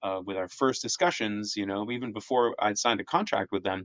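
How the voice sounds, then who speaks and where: With an American accent, a man speaks at a fairly low pitch. The sound is dry and close with no echo, over a quiet background. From Sweden then Boston. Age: 40s. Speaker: history professor and author. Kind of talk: interview.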